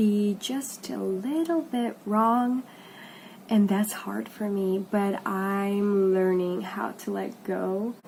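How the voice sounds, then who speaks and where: A woman with a non-native accent speaks at a very slow pace in a medium-pitched, somewhat breathy voice. Her tone is dark and mellow, with ordinary pitch variation. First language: not English. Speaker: vlogger. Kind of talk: casual vlog talk.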